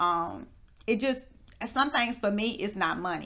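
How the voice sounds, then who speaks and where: Speaking with an American accent, a woman has a plain, everyday voice, a fairly slow pace and ordinary pitch variation. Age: 30s. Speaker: podcast host and entrepreneur. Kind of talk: interview.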